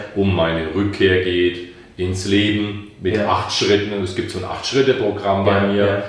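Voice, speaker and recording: Amid noticeable background noise and audible room echo, a man speaks in a fairly low, monotone, flat voice. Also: moderate pace. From Franconia, Bamberg (Germany). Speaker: life coach and musician. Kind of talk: interview conversation.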